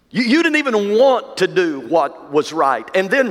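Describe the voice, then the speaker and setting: Very wide pitch swings and a warm tone against noticeable background noise. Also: man. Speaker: pastor. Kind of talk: sermon, preacher in full flow. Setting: church. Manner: emphatic, rhythmic repetition ("some of you have been sold to the sin of..."); warm, direct, addressing the congregation.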